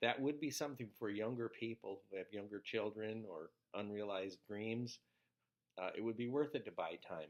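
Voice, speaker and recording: Speaking at a moderate pace, a man has a fairly low pitch and ordinary pitch variation. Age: 60s. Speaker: video blogger with ALS. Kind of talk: casual vlog explanation. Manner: halting, many fillers.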